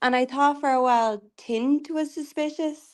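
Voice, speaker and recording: Fairly even intonation in an Irish accent, against a quiet background. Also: woman. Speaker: tarot reader. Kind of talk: casual livestream chat. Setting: video call livestream.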